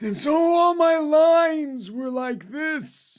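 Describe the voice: A put-on character voice speaks very slowly. Its pitch is high.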